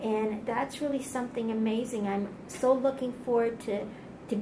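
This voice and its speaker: Her pitch fairly high and her intonation monotone and flat, a woman talks at a moderate pace over noticeable background noise. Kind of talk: interview questions.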